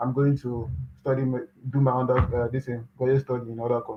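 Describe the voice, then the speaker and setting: With music playing in the background, a man speaks in a Nigerian accent at a medium pitch, fairly quickly, with monotone, flat intonation. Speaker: graduate student. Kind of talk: interview. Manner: soft-spoken.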